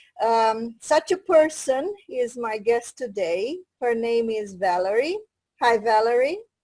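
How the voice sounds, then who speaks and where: This woman has a dark, mellow tone and a fairly high pitch. She talks at a fairly slow pace with lively intonation. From Romania. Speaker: interviewer. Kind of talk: interview.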